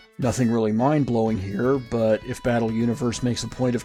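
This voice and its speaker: Music plays in the background. A man talks at a fairly quick pace with a medium pitch. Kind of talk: video essay commentary.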